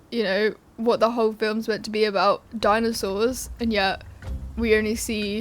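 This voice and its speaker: This woman has a British accent and a fairly high pitch. She speaks at a moderate pace with monotone, flat intonation. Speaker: YouTuber film reviewer. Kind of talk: casual video commentary. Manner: rambling, informal.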